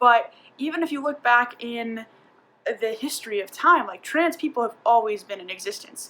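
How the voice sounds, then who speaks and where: A woman with an ordinary speaking voice, fairly high in pitch, with lively intonation. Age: 30s. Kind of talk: casual talk to camera.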